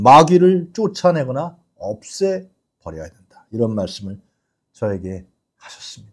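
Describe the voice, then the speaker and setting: Very slow, somewhat breathy speech with very wide pitch swings against a quiet background. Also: man. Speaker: political commentary show host. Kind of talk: live news commentary. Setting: studio. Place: studio. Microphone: lapel.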